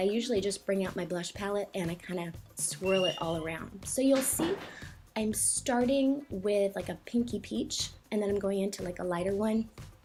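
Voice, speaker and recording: Music can be heard behind the voice. The speaker is a woman with a medium pitch. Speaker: makeup tutorial vlogger. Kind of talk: tutorial. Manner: fast; casual, filler-heavy.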